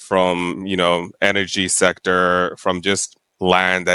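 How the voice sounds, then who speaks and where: In a very clean recording with a silent background and a dry, close sound with no echo, a man with a very deep, low pitch and a bright, sharp tone speaks fairly slowly in a flat monotone. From Tanzania. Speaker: private sector development specialist. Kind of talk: interview. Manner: hesitant, many fillers.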